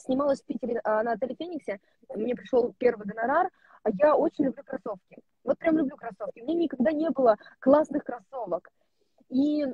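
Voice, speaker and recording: A woman talks at a fairly quick pace in a high, lively voice, the sound dry with no echo over a quiet background. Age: 20s. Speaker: actress. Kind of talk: casual chat. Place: car. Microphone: mobile internet connection from a car; earbuds.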